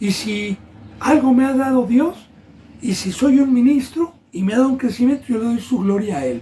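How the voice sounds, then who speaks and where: Someone talks at a moderate pace with noticeable background noise behind the voice. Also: man, extremely high pitch for a man, ordinary pitch variation. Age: 60s. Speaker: pastor. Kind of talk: sermon.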